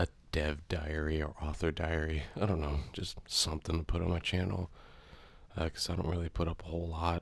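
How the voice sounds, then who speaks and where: Somewhat breathy, a man with a very deep, low pitch speaks at a moderate pace in monotone, flat intonation. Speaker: game map creator. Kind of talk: casual talk to camera. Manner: soft-spoken, scatterbrained, hesitant.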